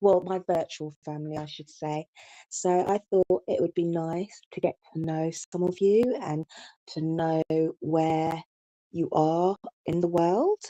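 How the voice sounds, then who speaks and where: Speaking at a fairly slow pace with a British accent, a woman has a fairly low pitch and a dark, mellow tone. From England, London. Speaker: YouTube live streamer. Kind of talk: live stream chat. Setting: live stream. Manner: casual, hesitant with many fillers.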